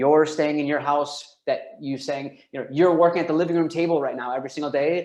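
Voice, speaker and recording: A man with a fairly high voice talks at a fairly quick pace in an animated tone. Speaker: real estate agent and team leader. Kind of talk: webinar presentation. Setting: online webinar. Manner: fast.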